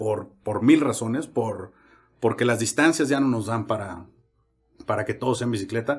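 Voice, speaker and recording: A somewhat breathy man speaks at a moderate pace. Long, frequent pauses break up his speech. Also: medium pitch for a man, ordinary pitch variation. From Mexico, San Luis Potosí. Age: 30s. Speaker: podcast host, motorcyclist. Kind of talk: casual chat.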